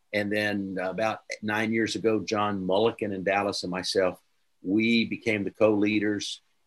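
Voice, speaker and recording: The quiet background carries a man speaking at a moderate pace. His fairly low voice stays monotone and flat. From Oklahoma, US. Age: 60s. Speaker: preacher and church leadership mentor. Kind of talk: interview.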